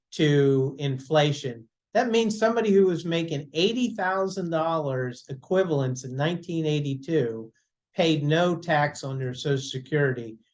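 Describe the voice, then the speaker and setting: A man talks in an ordinary speaking voice at a fairly high pitch. His intonation is lively and his pace moderate. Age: 60s. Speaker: financial advisor. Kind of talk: casual chat.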